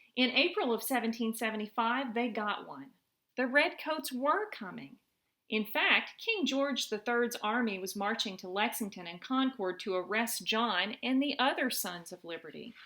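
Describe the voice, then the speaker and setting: Using a normal speaking voice, a woman with a fairly high pitch speaks at a moderate pace, her intonation lively and her loudness swinging widely. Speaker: mother reading to her children. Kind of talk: children's story read-aloud. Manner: warm, friendly.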